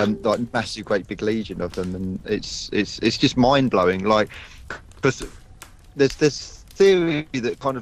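Over music in the background, a man with a medium-pitched voice talks at a fairly slow pace with lively intonation. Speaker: radio show co-host. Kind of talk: casual radio panel discussion.

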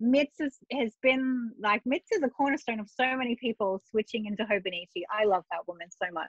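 This woman has an Australian accent, a fairly high pitch and ordinary pitch variation, speaking at a moderate pace with hardly any pauses. The sound is dry with no echo over a quiet background. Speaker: journaling artist. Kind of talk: casual interview chat. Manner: animated, laughs often. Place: home room. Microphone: video call.

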